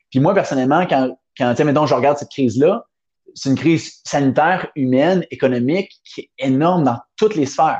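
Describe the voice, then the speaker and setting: The recording is dry and close, with no echo. A man in a Quebec accent speaks at a moderate pace with fairly high pitch. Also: ordinary pitch variation, big swings in loudness. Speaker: entrepreneur. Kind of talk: interview. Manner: animated.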